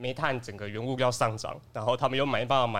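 Fairly quick male speech in a medium register, with fairly even intonation. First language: Taiwanese Hokkien (speaking Chinese). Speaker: office assistant and podcast panelist. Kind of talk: casual chat.

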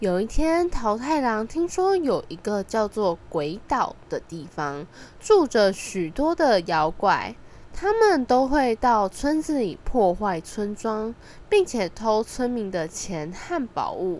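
At a slow pace, a woman speaks at medium pitch with a slightly mellow tone and big pitch swings.

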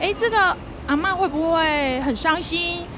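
A woman speaks at a fairly slow pace with music playing in the background. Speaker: children's literature writer. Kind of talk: casual chat. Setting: outdoors at a metro station.

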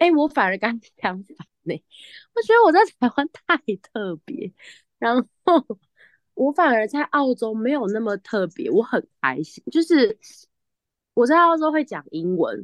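A woman's high voice with very wide pitch swings and big swings in loudness, a fairly slow pace, long, frequent pauses, and a dry, close sound with no echo over a quiet background. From Taiwan, with childhood years in the US. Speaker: guest who studied abroad, living in Australia. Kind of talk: casual chat. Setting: remote call from Australia. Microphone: choppy connection.

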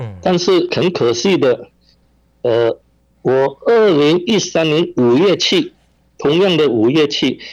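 A man's fairly high voice at a very slow pace, with lively intonation and long, frequent pauses. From Malaysia, Penang (Hainanese family). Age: 70s. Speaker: victim's family member. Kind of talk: interview. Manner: halting, many fillers.

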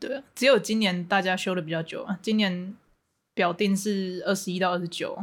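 Speaking in a Taiwanese accent, a woman talks at a moderate pace and medium pitch with fairly even intonation. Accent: Taiwanese Mandarin. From Taiwan, Hualien. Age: 20s. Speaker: university student. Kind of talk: casual chat. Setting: remote recording over voice channel.

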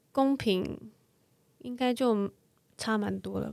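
Against a silent background in a very clean recording, a woman with a fairly high pitch speaks at a very slow pace. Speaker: model and mother. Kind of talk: casual chat.

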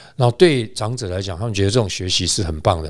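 Intonation rises and falls in a lively way. The words come very fast. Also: man. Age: 60s. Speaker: travel company executive. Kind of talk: interview. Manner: halting, many fillers.

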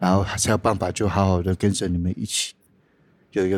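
A man with fairly low pitch at a very fast pace, in a very clean recording with a silent background and a dry, close sound with no echo. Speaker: boxing coach. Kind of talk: casual chat.

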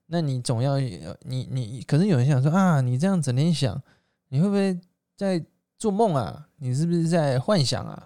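Heard on a very clean recording with a silent background, a man with a Taiwanese accent speaks at a moderate pace in a fairly high pitch, with lively intonation and a dark, mellow tone. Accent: Taiwanese Mandarin. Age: 20s. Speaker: direct sales entrepreneur. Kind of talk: motivational monologue. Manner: hesitant fillers.

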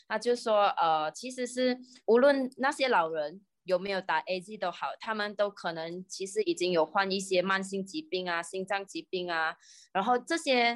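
A woman speaks in a Malaysian accent at medium pitch. Her intonation is lively. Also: moderate pace. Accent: Malaysian Mandarin. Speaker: pharmacist and YouTuber. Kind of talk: casual chat explaining science.

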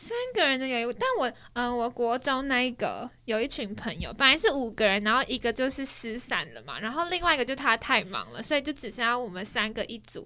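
A woman's high-pitched voice at a fairly quick pace, with ordinary pitch variation, hardly any pauses, and noticeable background noise. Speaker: podcast co-host. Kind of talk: casual chat.

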